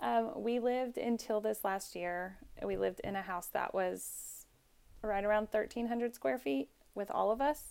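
A woman with an ordinary speaking voice talks fairly slowly at a medium pitch with lively intonation, on a very clean recording with a silent background. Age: 30s. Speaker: mother and student midwife. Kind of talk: casual chat.

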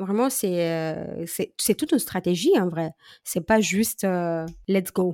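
A woman's voice with a dark, mellow tone, a very slow pace and ordinary pitch variation, in a dry, close sound with no echo. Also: medium pitch for a woman, very clean recording, silent background. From Moldova. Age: 30s. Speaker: social media coach. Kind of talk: casual interview.

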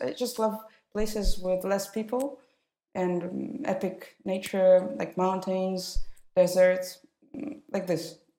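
Intonation is fairly even. The delivery moves at a fairly slow pace. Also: woman. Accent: Russian. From Russia, Moscow. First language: Russian. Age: 30s. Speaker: wedding photographer. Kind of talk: interview.

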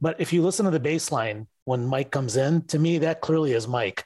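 A man talks with an American accent at a moderate pace. His voice is somewhat breathy, with ordinary pitch variation. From Detroit, US Midwest. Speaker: Van Halen fan. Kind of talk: casual chat. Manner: hesitant, stammering.

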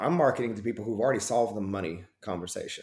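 This man has an Oklahoma accent. He talks at a very fast pace. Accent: Oklahoma Southern US. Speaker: performance coach and ministry background. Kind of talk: casual interview chat.

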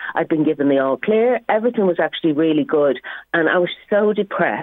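Fairly quick, lively speech from a woman with a fairly low voice and a Dublin accent. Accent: Irish (Dublin). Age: 50s. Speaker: comedian. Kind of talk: casual chat.

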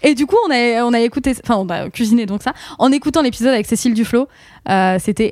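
A woman talks at a fairly quick pace in a high pitch with ordinary pitch variation. The recording is very clean with a silent background and a dry, close sound with no echo. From northern France, Picardy. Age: 30s. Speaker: podcaster. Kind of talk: casual chat.

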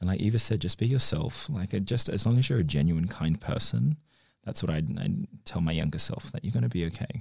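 Talking at a fairly quick pace with an Australian accent, a man with fairly low pitch and vocal fry makes very wide pitch swings. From Northern Territory, Australia. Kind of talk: casual group conversation.

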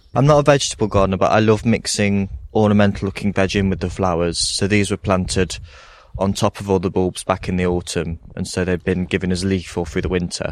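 Speaking fairly quickly with an East Midlands accent, the man has a very deep, low voice. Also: ordinary pitch variation, very clean recording, silent background. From Hucknall, Nottingham, England. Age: 20s. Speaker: gardener. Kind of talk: casual chat. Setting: outdoors.

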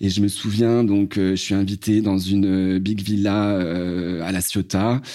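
At a very slow pace, a man speaks in a fairly low pitch with a dark, mellow tone and monotone, flat intonation. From France, Loire valley near Blois. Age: 40s. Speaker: salesman giving testimony. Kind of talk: testimony.

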